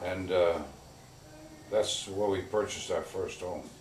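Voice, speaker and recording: Audible room echo surrounds a man's voice. Background noise is also noticeable. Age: 80s+. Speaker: retired real estate man. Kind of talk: interview. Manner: halting, many fillers.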